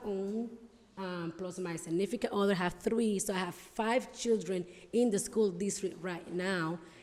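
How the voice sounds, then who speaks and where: Against audible room echo, a woman speaks at medium pitch and a moderate pace with ordinary pitch variation. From Dominican Republic. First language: Spanish. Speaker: school board candidate. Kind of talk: campaign speech at town hall. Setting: town hall with audience. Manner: hesitant, many fillers.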